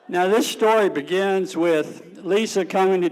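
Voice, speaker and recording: With an American accent, this man speaks at a high pitch with ordinary pitch variation. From Suffolk, Virginia. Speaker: storyteller, Navy veteran. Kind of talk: personal storytelling on stage. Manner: folksy, humorous.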